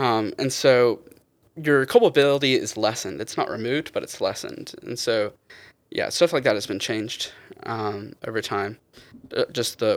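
The recording is very clean, with a silent background. A man delivers his words at a moderate speed. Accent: Southern US. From US South, eastern North Carolina. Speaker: guest. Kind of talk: casual chat.

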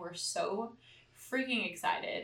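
Noticeable noise sits in the background. Over it, a woman speaks in a fairly high voice. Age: 20s. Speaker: podcast co-host. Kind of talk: casual chat. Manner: animated.

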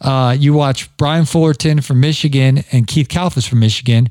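A man with a fairly high pitch speaks in a slight Ohio accent at a moderate pace. His tone is animated and enthusiastic, with ordinary pitch variation. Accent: slight Ohio accent showing. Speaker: podcast host, landscaping business owner. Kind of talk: casual interview chat. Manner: animated, enthusiastic.

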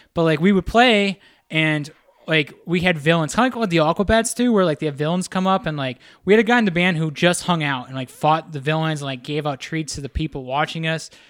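A man with a plain, everyday voice speaks at a fairly quick pace in an American accent. His pitch is fairly high with ordinary variation, on a very clean recording with a silent background. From rural western Pennsylvania. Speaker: visual artist. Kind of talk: casual chat. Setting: artist's house room.

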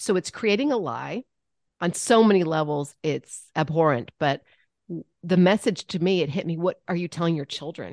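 A normal speaking voice from a woman, fairly low in pitch, at a moderate pace with lively intonation, in a dry, close sound with no echo over a quiet background. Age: 50s. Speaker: comedic actress, podcast co-host. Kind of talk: casual interview chat.

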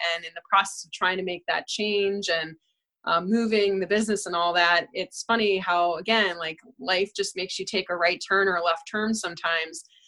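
A woman with an American accent speaks at a medium pitch in a bright, sharp tone. Her intonation is fairly even, and the recording is very clean with a silent background. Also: moderate pace. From New York (Queens). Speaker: golf coach. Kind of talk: interview.

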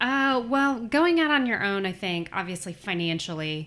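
A woman at a moderate pace with very wide pitch swings, on a very clean recording with a silent background. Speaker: chiropractor, business owner. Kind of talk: interview conversation.

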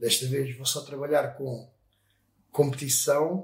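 A man's somewhat breathy voice, fairly high in pitch. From Portugal, Sesimbra. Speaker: motorcycle painter and business owner. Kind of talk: casual interview. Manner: halting, many fillers.

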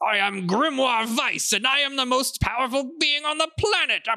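A man uses a put-on character voice at an extremely high pitch. He keeps a moderate pace. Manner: pompous, arrogant.

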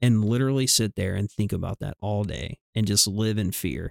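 A man with a Southern US accent speaks at a fairly slow pace, his pitch fairly low with ordinary variation. The sound is dry and close, with no echo. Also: very clean recording, silent background. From US South. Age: 30s. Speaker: nurse. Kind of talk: casual chat.

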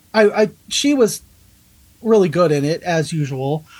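A woman speaks in a fairly low, somewhat breathy voice. Her intonation is lively. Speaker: podcast co-host, artist. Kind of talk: casual chat.

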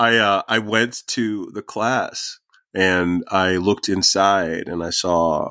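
A man's very deep, low voice keeps fairly even intonation. The sound is dry and close, with no echo. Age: 50s. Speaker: writer. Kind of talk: interview. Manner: halting, many fillers.

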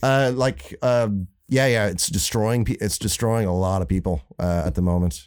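An ordinary speaking voice moves at a moderate pace with hardly any pauses, lively intonation and very even loudness. The recording is very clean, with a silent background. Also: man, fairly low pitch for a man. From born in Florida, raised in Ireland from age fourteen. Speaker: saxophone player. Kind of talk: casual chat. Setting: home recording.

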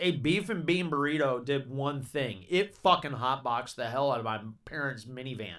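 With a Southern US accent, a man sounds animated, with lively intonation at a fairly high pitch, a moderate pace, and hardly any pauses, on a very clean recording with a silent background. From Georgia, US South. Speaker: podcast host. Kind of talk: casual chat. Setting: studio.

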